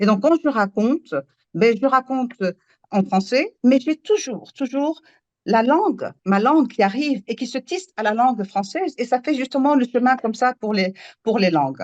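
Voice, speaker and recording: A woman's high voice in a Moroccan accent, lively in intonation at a moderate pace, with a dry, close sound and no echo. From Morocco. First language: Moroccan Arabic (speaking French). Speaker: storyteller. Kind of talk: panel discussion. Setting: live public event. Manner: halting.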